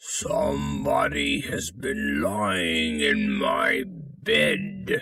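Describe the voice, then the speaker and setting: A man uses a put-on character voice, raspy and very deep in pitch. He speaks at a very slow pace. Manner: angry, growling.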